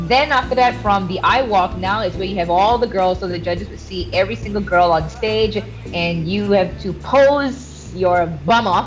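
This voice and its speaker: A woman speaks at a moderate pace in a medium pitch, with ordinary pitch variation and music playing in the background. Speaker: radio DJ and fitness coach. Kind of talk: interview answer. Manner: energetic, extroverted.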